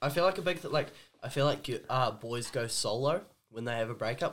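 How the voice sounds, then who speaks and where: A man speaks at a fairly quick pace. He has a New Zealand accent. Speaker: podcast co-host. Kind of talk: casual chat.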